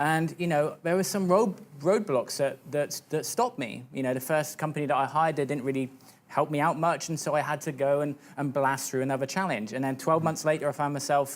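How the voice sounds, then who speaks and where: A man with a British accent talks at a fairly quick pace. His fairly high pitch shows ordinary pitch variation. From UK. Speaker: fitness business coach. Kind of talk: TV interview. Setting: TV studio.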